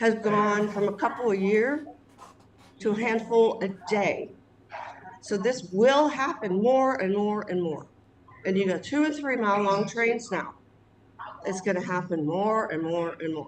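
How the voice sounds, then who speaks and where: A woman speaks at a medium pitch with lively intonation, a fairly slow pace and long, frequent pauses. Audible room echo and noticeable background noise are present. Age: 60s. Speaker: local resident. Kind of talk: casual chat.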